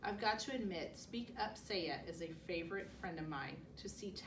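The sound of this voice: An unforced reading voice, its pitch varying an ordinary amount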